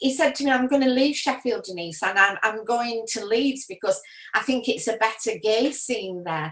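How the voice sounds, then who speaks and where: Speaking at a moderate pace over noticeable background noise, a woman uses a fairly high pitch and lively intonation. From Yorkshire, northern England. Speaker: retiree sharing memories. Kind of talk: personal reminiscence. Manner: hesitant, many fillers.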